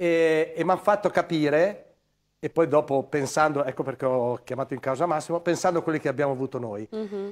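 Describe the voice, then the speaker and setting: At a fairly quick pace, a man talks in a fairly high pitch. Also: ordinary pitch variation, quiet background. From northern Italy, Crema; Italy. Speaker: former footballer, football pundit; football pundit. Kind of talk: studio panel discussion. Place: studio. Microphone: lapel.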